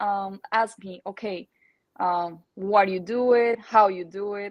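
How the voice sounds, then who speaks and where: The speaker talks at a fairly slow pace with a Spanish accent and ordinary pitch variation. The background is quiet. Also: woman. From Colombia. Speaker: natural bikini bodybuilding athlete. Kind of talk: podcast interview. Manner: halting, many fillers and repetitions.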